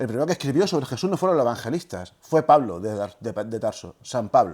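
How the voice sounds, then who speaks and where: A man talks at a very fast pace at medium pitch. His pitch swings very widely. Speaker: historian and lecturer on religion. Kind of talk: lecture.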